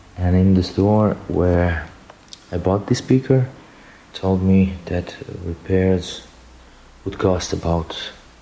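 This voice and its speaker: Amid noticeable background noise, a man with a very deep, low pitch speaks at a very slow pace with long, frequent pauses and fairly even intonation. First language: not English. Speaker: DIY hobbyist, music producer. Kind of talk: tutorial. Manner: halting.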